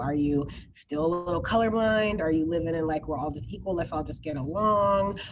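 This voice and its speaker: A woman with an American accent talks at a very fast pace, her pitch fairly low with ordinary variation. Audible room echo surrounds her voice. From New Jersey, US. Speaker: keynote speaker, education activist. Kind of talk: Q&A after keynote talk.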